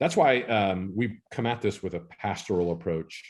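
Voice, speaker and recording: This man's speech shows ordinary pitch variation. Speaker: church consultant and webinar presenter. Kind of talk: webinar presentation. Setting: live online webinar. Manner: fast.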